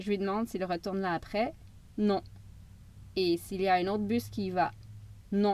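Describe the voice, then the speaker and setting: A woman with a Quebec accent speaks at a moderate pace in a medium pitch, keeping her intonation fairly even and taking long, frequent pauses. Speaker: travel storyteller. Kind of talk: audiobook-style travel narration. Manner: casual, expressive.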